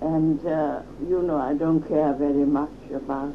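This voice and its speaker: A woman speaks with a very deep, low pitch and monotone, flat intonation at a fairly slow pace. Noticeable background noise can be heard. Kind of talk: interview answer.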